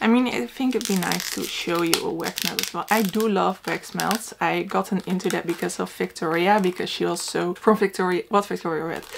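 The speech runs at a fairly quick pace with hardly any pauses. Noticeable background noise sits behind it. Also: woman. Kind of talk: casual vlog chat. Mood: excited, laughing. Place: home room. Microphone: camera far.

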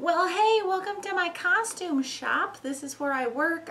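A woman uses a put-on character voice, squeaky and extremely high in pitch. Her intonation is lively and her pace moderate. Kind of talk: casual vlog chat.

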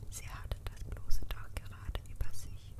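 A woman is whispering in a gentle tone. There is noticeable background noise. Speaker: ASMR creator. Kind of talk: ASMR fairy tale reading for sleep. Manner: soft-spoken, gentle.

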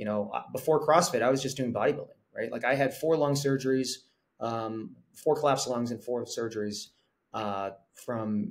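Someone speaks at a moderate pace with ordinary pitch variation. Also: man. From Korea-born, raised abroad by American parents (Italy, Singapore, London, Norway). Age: 40s. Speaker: fitness content creator. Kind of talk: podcast interview. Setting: video call. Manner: talkative. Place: home room. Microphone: webcam.

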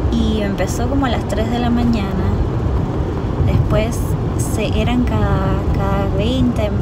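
A woman's voice over loud background noise. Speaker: vlogger. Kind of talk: casual vlog chat. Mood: relaxed storytelling. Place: car. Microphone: phone near.

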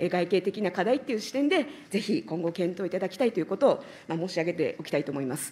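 A woman's medium-pitched, dark and mellow voice at a very fast pace, with very wide pitch swings and big swings in loudness. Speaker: legislator questioning ministers. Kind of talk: parliamentary committee questioning. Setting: parliamentary committee room. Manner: formal, polite with many fillers. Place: hall. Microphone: podium.

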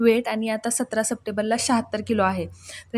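A woman with a fairly high pitch speaks in a normal speaking voice. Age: 30s. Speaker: YouTube cooking and diet vlogger. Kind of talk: casual vlog reading out viewer comments.

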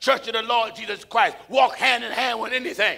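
Raising and projecting his voice, a man talks at a fairly quick pace. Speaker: preacher. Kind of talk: sermon. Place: hall. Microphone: lapel.

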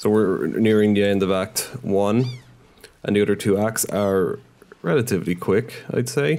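This man has a dark, mellow tone and a fairly low pitch. He keeps ordinary pitch variation, very even loudness, and a moderate pace. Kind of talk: casual gameplay commentary. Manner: casual, rambling, self-interrupting; swears freely, mildly frustrated.

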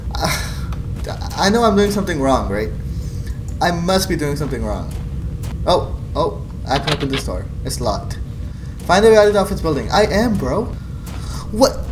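A man speaks at a moderate pace with long, frequent pauses amid noticeable background noise. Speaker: gaming youtuber. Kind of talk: gaming commentary and vlog outro. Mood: frustrated, exasperated. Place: home room.

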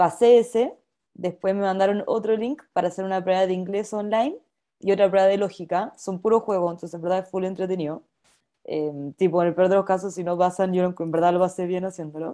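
A woman with a Chilean accent, a dark, mellow tone, fairly even intonation and a fairly quick pace against a quiet background. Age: 20s. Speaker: company trainee; presenter. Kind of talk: personal testimony in webinar. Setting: video call. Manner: fast talker when nervous. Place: home room. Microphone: webcam.

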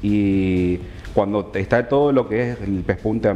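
Against light background noise, a man with a fairly low pitch uses an ordinary speaking voice with ordinary pitch variation. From Argentina, Chaco (Resistencia). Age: 30s. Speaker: tailor and fashion designer guest. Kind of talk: TV interview. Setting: TV studio. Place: studio.

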